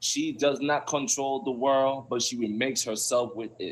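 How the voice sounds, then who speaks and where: Someone with a Belizean accent speaks at a fairly slow pace. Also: man. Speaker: poet. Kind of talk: reading aloud; casual chat. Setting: live stream.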